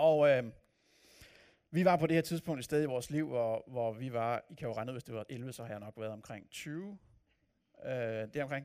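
Over a very clean, silent background, a man with a dark, mellow, medium-pitched voice talks at a fairly slow pace with long, frequent pauses, big swings in loudness and ordinary pitch variation. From Copenhagen area, Denmark. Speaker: pastor. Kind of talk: sermon. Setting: church.

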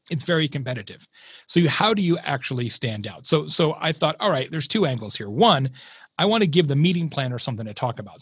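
With an American accent, a man speaks in very wide pitch swings. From Arizona, US Southwest. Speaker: marketing keynote speaker and author. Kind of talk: casual interview.

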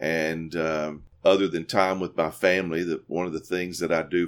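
Speaking in a Southern US accent, a man with a very deep, low pitch talks at a moderate pace in a monotone, flat intonation. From US South, Mississippi. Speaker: university president and former pastor. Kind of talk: interview.

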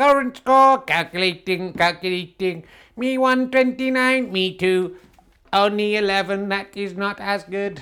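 Against a very clean, silent background, a female-sounding voice in a put-on, robotic character voice speaks at a medium pitch and a very slow pace with long, frequent pauses. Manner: mechanical, computerized.

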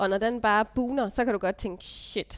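An unremarkable speaking voice. Its intonation stays fairly even. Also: woman. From Denmark, Funen (Stige, Odense). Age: 30s. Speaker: vocational business graduate, mother. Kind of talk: casual interview. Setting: meeting room.

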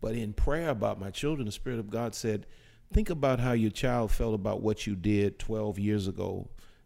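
This man has an unremarkable speaking voice at a medium pitch with ordinary pitch variation. He talks at a moderate pace. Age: 50s. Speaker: pastor. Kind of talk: casual chat.

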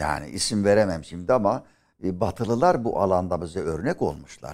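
A man with a plain, everyday voice talks at a moderate pace and fairly low pitch, using lively intonation, on a very clean recording with a silent background. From Aegean Turkey (Milas, Muğla). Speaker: history professor. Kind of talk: interview. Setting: studio.

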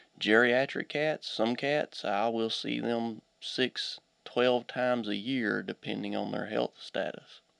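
A man with an Appalachian accent at a very slow pace. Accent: Appalachian Kentucky. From Eastern Kentucky (Pike County). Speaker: veterinarian. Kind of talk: radio interview. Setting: studio.

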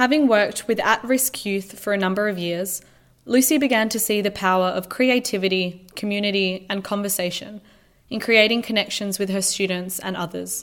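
With ordinary pitch variation and a moderate pace, a woman speaks at a medium pitch in a very clean recording with a silent background. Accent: Australian. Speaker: podcast host. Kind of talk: scripted narration.

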